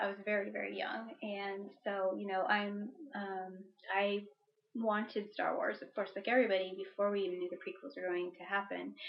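A woman with an unremarkable speaking voice, medium pitch, fairly even intonation, and a moderate pace. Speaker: podcast co-host.

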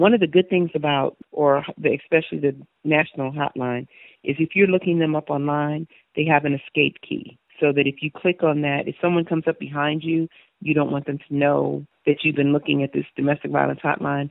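At a fairly quick pace, a woman with a very deep, low pitch speaks with fairly even intonation. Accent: American. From US Midwest, Chicago. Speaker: domestic violence survivor. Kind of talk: personal testimony in an interview.

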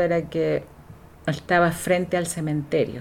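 A woman speaks at a very slow pace in a fairly low pitch. Her intonation is fairly even. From southern Chile (Valdivia), raised partly in Valparaíso. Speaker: writer and educator, former political exile. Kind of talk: interview, personal life story. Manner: hesitant, many fillers.

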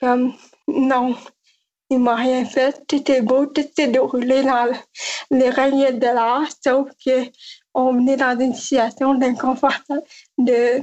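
A woman speaks very slowly in a high voice, with a monotone, flat intonation. Her loudness stays very even throughout. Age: 20s. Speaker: nonprofit director. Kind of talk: interview.

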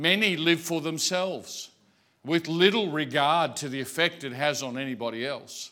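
Speaking with an Australian accent, a man uses a fairly high pitch, a bright, sharp tone, ordinary pitch variation and a moderate pace on a very clean recording with a silent background. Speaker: pastor. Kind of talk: sermon. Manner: hesitant, filler-heavy.

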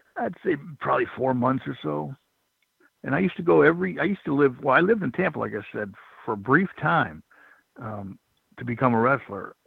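Using vocal fry and very wide pitch swings, a man at a medium pitch moves at a fairly quick pace yet leaves long, frequent pauses. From Michigan, raised in Florida from childhood. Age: 50s. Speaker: former pro wrestler. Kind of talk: interview.

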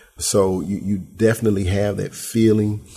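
Somewhat breathy and fairly low in pitch, a man speaks at a moderate pace with fairly even intonation. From Memphis, Tennessee. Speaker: pastor and youth ministry worker. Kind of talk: interview conversation.

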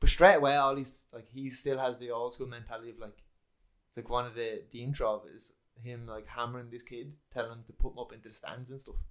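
In an English accent, the speaker talks at a very fast pace with monotone, flat intonation and big swings in loudness. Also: man, medium pitch for a man. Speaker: podcast co-host, footballer. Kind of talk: casual chat.

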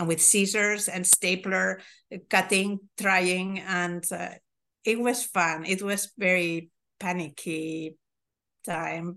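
A woman at a very slow pace, with long, frequent pauses, fairly even intonation and a quiet background. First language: Spanish or Catalan. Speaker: milliner and event organizer. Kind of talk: interview.

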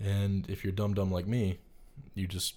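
A man with an American accent speaks at a fairly low pitch. His voice is somewhat breathy. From North Carolina, US South. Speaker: film student. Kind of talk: casual interview chat.

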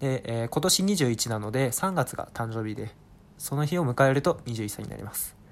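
A man speaks at a moderate pace and a medium pitch. His intonation is lively, and his loudness swings a lot. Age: 20s. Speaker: freelancer podcaster. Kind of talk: casual monologue self-introduction. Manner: hesitant with frequent fillers.

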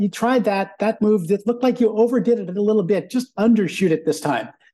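A man with a high voice talks at a fairly quick pace. His tone is dark and mellow, with ordinary pitch variation. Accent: American. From US West Coast, San Francisco Bay Area. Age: 60s. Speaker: business consultant, former gymnastics coach. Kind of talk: interview conversation.

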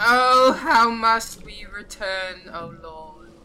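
A put-on character voice, shrill and fairly high in pitch. It moves at a very slow pace. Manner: screeching, wailing.

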